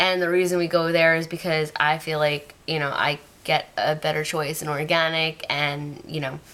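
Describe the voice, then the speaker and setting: A woman with a very deep, low voice speaks at a moderate pace with fairly even intonation over noticeable background noise. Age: 20s. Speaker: vlogger. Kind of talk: casual vlog monologue. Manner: hesitant, many fillers.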